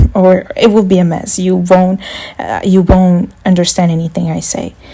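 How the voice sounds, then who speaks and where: A woman's fairly low, monotone voice with flat intonation at a fairly slow pace, over noticeable background noise. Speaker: beauty history youtuber. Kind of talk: scripted narration; casual outro. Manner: sounds robotic when reading; halting when unscripted.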